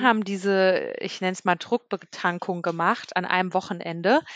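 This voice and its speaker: A woman uses a normal speaking voice at a moderate pace with ordinary pitch variation, the sound dry and close with no echo. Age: 30s. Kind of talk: casual chat.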